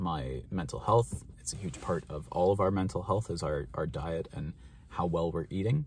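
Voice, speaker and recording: With a Canadian accent and vocal fry, a man talks at a moderate pace in a very deep, low voice, the sound dry with no echo and light background noise. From Canada, Ontario. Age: 20s. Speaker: mental health vlogger. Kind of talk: casual vlog monologue. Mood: calm, reflective. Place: car. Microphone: phone near.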